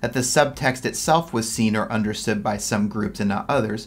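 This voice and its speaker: A man talks at a moderate pace, with faint music in the background. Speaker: exam tutor. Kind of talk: tutorial.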